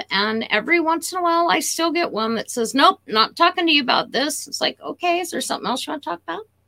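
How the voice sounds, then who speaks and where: A woman talks very fast in a raised, projected voice, high in pitch and bright and sharp in tone, with lively intonation. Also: hardly any pauses. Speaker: animal communicator. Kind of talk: interview conversation.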